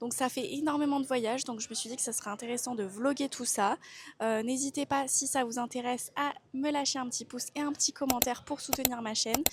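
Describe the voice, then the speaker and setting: A high-pitched woman's voice at a fairly quick pace with fairly even intonation, over noticeable background noise. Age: 20s. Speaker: travel vlogger. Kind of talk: casual vlog monologue. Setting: airport.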